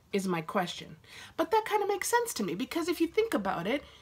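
A woman's somewhat breathy voice. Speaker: vlogger. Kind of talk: casual vlog chat. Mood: joking, playfully sarcastic. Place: home room. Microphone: phone near.

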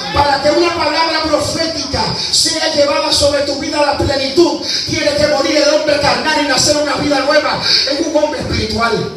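A man's extremely high voice at a moderate pace, monotone, flat intonation, with strong room echo and noticeable background noise. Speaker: evangelist preacher. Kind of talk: fiery Pentecostal sermon. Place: church. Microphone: camera far.

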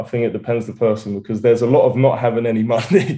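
A man with an Essex accent talks at a very fast pace in a dark, mellow, somewhat breathy tone. His pitch varies in an ordinary way over a quiet background. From England, Essex. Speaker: rapper. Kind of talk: interview. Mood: relaxed, smiling. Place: home room. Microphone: video call.

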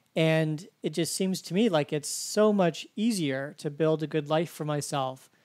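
A plain, everyday voice, moderately paced and with ordinary pitch variation, over a silent background on a very clean recording. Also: man. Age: 40s. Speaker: podcast host and university instructor. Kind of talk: interview; podcast intro and outro.

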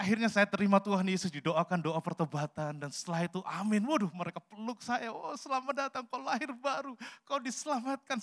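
Very fast and with very wide swings in pitch, a man talks against a quiet background. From Central Java, Salatiga; Central Java, Indonesia. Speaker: pastor; pastor preaching. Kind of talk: sermon. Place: church. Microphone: handheld.

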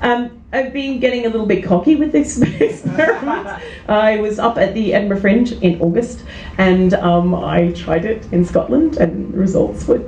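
Lively intonation marks this woman's voice at a moderate pace. Light background noise and audible room echo come through. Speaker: stand-up comedian. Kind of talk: stand-up comedy routine. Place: stage. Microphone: handheld.

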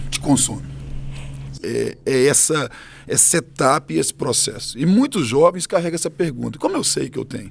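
Light background noise sits under this man's voice. He speaks at a moderate pace. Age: 40s. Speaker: pastor. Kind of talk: interview. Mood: calm, earnest, smiling. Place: studio. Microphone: studio mic.

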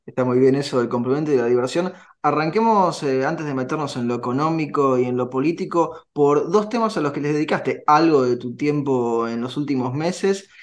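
Delivery is fairly quick with hardly any pauses and ordinary pitch variation. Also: man. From Argentina. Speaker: radio host. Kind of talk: radio interview. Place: home room. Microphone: earbuds.

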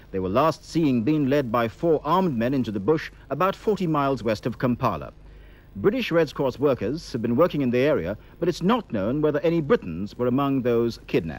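This man talks at a fairly quick pace with very wide pitch swings, and the sound is dry with no echo. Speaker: newsreader. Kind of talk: news reading. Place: studio.

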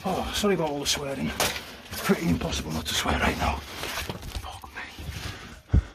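Loud background noise behind a man talking at a moderate pace. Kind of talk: casual vlog chat. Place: tunnel cave.

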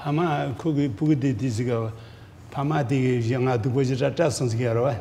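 Somewhat breathy speech with a dark, mellow tone, fairly quick pace, ordinary pitch variation, and light background noise. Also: man. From Ladakh, India; India. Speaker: Buddhist teacher, monastery abbot; Buddhist teacher. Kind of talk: dharma teaching in Tibetan. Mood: calm, warm. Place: hall.

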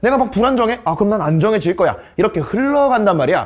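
A man with a high pitch and very wide pitch swings. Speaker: science tutor. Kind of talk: lecture. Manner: casual lively teaching tone.

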